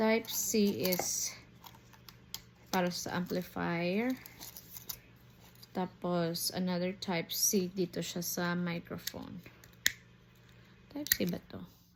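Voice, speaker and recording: Against noticeable background noise, a woman with a fairly low pitch speaks very slowly, with long, frequent pauses. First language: Filipino (Tagalog/Cebuano). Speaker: teacher and product reviewer. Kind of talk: unboxing review. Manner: casual, code-switching.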